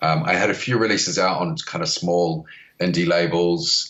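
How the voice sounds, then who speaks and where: A man speaks with a New Zealand accent at a moderate pace. His pitch swings very widely. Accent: Kiwi. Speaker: record label founder. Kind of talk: podcast interview. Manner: hesitant, many fillers.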